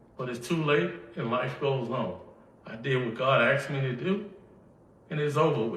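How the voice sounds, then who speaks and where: A man with a Mississippi accent at a moderate pace, with ordinary pitch variation, audible room echo and noticeable background noise. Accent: Southern US (Mississippi). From Mississippi, US South. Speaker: inventor / company figure interviewed. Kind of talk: interview.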